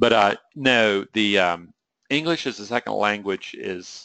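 A man with a Southern US accent speaks at a fairly low pitch in a bright, sharp tone with ordinary pitch variation. The sound is dry and close with no echo, against a quiet background. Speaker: trading psychology coach. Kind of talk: webinar presentation. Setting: online webinar. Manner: rambling, conversational.

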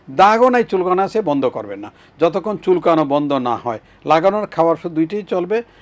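A high-pitched male voice with very wide pitch swings. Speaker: dermatologist, professor. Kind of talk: TV health advice interview.

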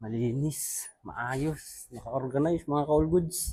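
The man's tone is dark and mellow, and somewhat breathy. His intonation stays fairly even. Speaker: vlogger, overseas worker. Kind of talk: daily vlog narration. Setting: walking outdoors and on a bus.

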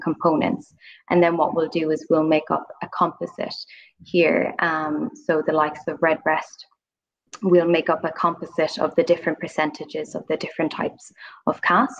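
A woman talks with an unremarkable speaking voice at a fairly low pitch and a moderate pace. Her intonation is fairly even, and the background is quiet. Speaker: guest. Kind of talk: interview answer. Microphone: video call.

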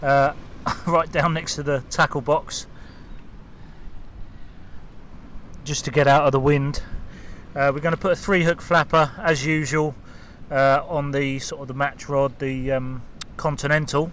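Over light background noise, a man talks at a moderate pace with fairly even intonation and long, frequent pauses, the sound dry with no echo. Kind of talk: casual vlog chat. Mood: cheerful, relaxed. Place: waterside. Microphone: phone near.

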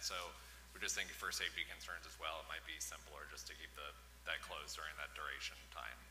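A man talks at a fairly quick pace amid light background noise. Audible echo fills the room. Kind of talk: public comment answer. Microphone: podium.

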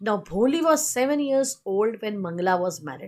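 Against a quiet background, a woman at a medium pitch talks at a fairly slow pace with very wide pitch swings. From India. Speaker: teacher. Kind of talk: lecture. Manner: code-switching Hindi and English.

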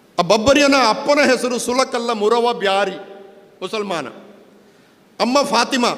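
Noticeable background noise sits behind this man. His pitch is extremely high, with ordinary variation. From coastal Karnataka, Panja near Puttur. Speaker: public speaker, scholar. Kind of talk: public speech.

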